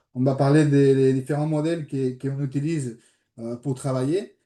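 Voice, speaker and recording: A dark, mellow tone with a slight Spanish accent, fairly even intonation and a moderate pace. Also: man. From Spain. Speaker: sport psychologist. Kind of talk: online presentation. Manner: hesitant, many fillers.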